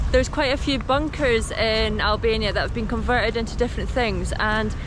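Against noticeable background noise, a woman speaks at a fairly quick pace in a dry sound with no echo. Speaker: travel vlogger. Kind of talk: casual vlog chat. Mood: cheerful, relaxed. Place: garden. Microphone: phone near.

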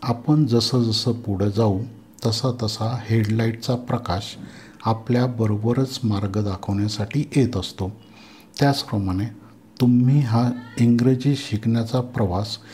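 Somewhat breathy, a man speaks at a medium pitch with a dark, mellow tone and fairly even intonation. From Maharashtra, India (Nashik). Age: 60s. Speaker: English teacher. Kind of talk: lecture. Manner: formal.

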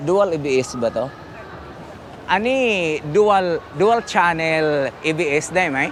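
Over noticeable background noise, a man speaks very slowly in a high pitch with lively intonation. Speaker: motorcycle vlogger. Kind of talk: casual vlog walkthrough. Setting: indoor motor show. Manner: animated, laughing.

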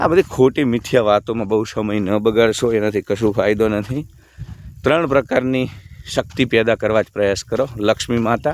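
A man at a medium pitch speaks with ordinary pitch variation and big swings in loudness, in a dry, close sound with no echo. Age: 40s. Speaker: spiritual YouTuber. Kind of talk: monologue to camera. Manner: animated.

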